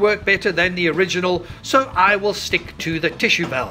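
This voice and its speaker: Over noticeable background noise, a man speaks in a raised, projected voice. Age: 60s. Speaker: vlogger. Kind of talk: casual vlog narration.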